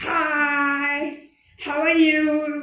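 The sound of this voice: Strained and guttural, a put-on character voice pitched high drones in a monotone, flat intonation with audible echo.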